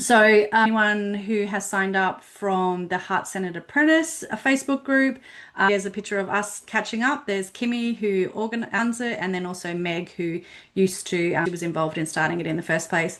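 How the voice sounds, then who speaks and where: A woman's medium-pitched voice with an Australian accent at a fairly quick pace. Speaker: business platform consultant. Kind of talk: webinar presentation.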